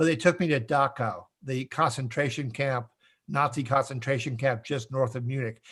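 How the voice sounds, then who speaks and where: This man's voice sits fairly high in pitch, with an Upper Midwest accent. His pitch varies in an ordinary way. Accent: Upper Midwest American. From US Midwest, Minnesota. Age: 60s. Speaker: author and trainer on facial expressions. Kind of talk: interview.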